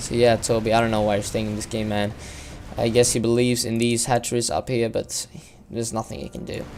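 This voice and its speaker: Speaking very fast with a non-native accent, a man keeps a medium pitch and a monotone, flat intonation. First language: not English. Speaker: video game caster. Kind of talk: live game commentary. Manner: halting, many fillers.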